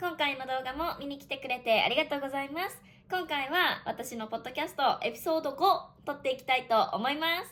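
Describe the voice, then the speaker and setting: With a high pitch and a bright, sharp tone, this woman shows ordinary pitch variation and big swings in loudness. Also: fairly quick pace. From Japan. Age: 20s. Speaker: online Japanese teacher. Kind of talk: casual podcast talk for Japanese learners. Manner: casual.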